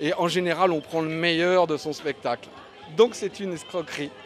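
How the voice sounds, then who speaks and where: A man speaks with a Belgian accent at a high pitch and moderate pace, with noticeable background noise behind him. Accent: Belgian-sounding. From Paris, France. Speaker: stand-up comedian. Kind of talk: interview. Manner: hesitant, many euhs.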